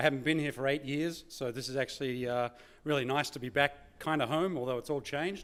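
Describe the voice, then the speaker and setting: A medium-pitched man with an Australian accent, fairly quick, with fairly even intonation. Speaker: keynote speaker, former corporate executive. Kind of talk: conference keynote talk. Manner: conversational, many filler words.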